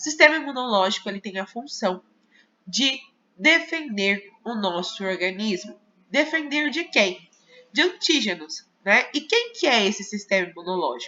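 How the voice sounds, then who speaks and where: Speaking fairly slowly, a woman with a fairly high pitch makes very wide pitch swings. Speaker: teacher. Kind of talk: lecture. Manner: casual, with many fillers.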